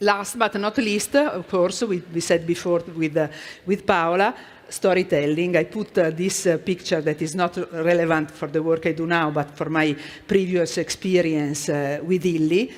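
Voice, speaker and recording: In an Italian accent, the words come at a moderate pace. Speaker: corporate art and culture manager. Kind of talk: conference presentation. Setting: stage with audience. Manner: halting.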